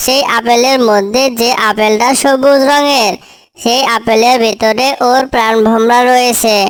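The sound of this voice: A cartoonish character voice delivers its lines at a fairly slow pace. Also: female-sounding voice, high pitch for a woman.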